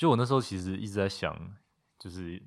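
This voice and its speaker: A man with a plain, everyday voice speaks at a fairly low pitch, varying it in an ordinary way. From Taiwan, Taipei. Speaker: recent architecture graduate. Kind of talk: casual interview. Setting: guesthouse in Tainan.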